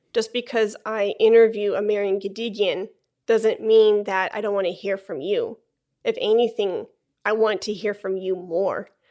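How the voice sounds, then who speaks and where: A woman's fairly high, dark and mellow voice in a Chicago accent, monotone and flat, at a moderate pace. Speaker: flutist and podcast host. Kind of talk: casual interview conversation.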